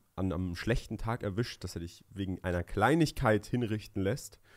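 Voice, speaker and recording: A man speaks at a moderate pace. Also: quiet background. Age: 20s. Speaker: podcast co-host, young entrepreneur. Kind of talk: casual chat. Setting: studio. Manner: hesitant, many fillers. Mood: relaxed, smiling. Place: studio. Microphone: studio mic.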